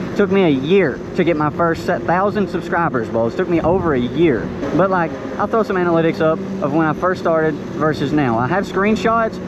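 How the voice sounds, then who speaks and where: In an American accent, a man with a high pitch speaks at a fairly quick pace, with audible room echo and noticeable background noise. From rural Kentucky. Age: 20s. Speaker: motovlogger. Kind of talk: tutorial. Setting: outdoors in the woods, riding dirt bike. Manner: casual, animated.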